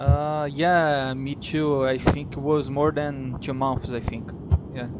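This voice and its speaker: A man with a Brazilian accent, very slow and monotone, with flat intonation. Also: fairly high pitch for a man. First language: Portuguese. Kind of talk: casual video call conversation. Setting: internet call. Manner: hesitant, many fillers.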